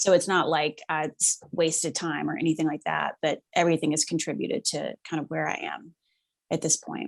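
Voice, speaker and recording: A woman talks at a moderate pace in a very clean recording with a silent background and a dry, close sound with no echo. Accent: Southern US. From US South, Mississippi near Memphis. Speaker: actress and writer. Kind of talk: podcast interview.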